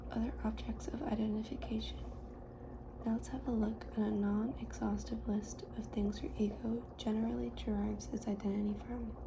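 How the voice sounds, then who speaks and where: Soft-spoken, calm delivery at a moderate pace over noticeable background noise. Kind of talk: soft-spoken ASMR audiobook reading. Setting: lofi ASMR recording.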